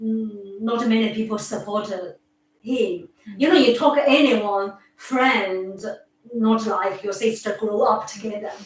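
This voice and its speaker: Speaking with a Chinese accent, a woman with a fairly high pitch talks at a fairly slow pace. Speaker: patient's carer. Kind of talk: casual chat. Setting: home visit. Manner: halting.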